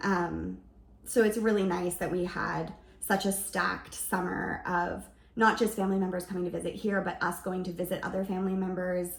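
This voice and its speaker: The intonation is monotone and flat. Noticeable background noise runs underneath. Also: woman, medium pitch for a woman, moderate pace. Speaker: lifestyle vlogger. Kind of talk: casual vlog narration.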